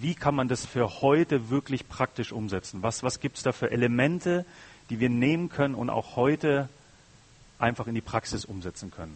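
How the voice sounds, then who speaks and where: A man with a normal speaking voice, medium pitch and moderate pace. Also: lively intonation. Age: 30s. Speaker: guest preacher. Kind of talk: sermon.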